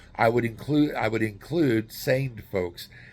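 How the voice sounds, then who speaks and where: On a very clean recording with a silent background, a man with an American accent has an unremarkable speaking voice, speaking at a moderate pace with fairly even intonation. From US Southwest, New Mexico. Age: 60s. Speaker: YouTuber and relocation guide. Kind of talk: casual informational vlog. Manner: casual, with frequent fillers and restarts.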